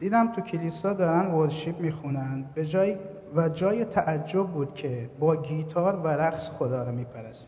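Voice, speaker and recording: Noticeable background noise surrounds a man with a fairly high pitch. He speaks at a fairly slow pace. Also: ordinary pitch variation. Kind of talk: testimony. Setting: church service.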